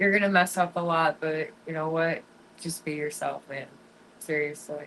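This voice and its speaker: A woman speaks in a very deep, low voice with flat, monotone intonation. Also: moderate pace. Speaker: fishing livestreamer. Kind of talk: casual livestream chat with viewers.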